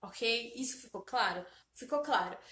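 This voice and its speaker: A woman speaks at a moderate pace in a raised, projected voice, her tone bright, sharp and animated. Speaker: self-help vlogger. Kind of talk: motivational talk to camera.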